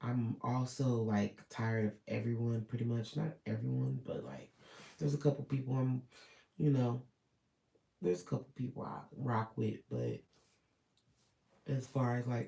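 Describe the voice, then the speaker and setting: The voice has a dark, mellow tone and is somewhat breathy. Long, frequent pauses break up the speech. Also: man, medium pitch for a man, moderate pace. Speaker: vlogger. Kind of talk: personal vlog monologue. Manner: hesitant, filler-heavy.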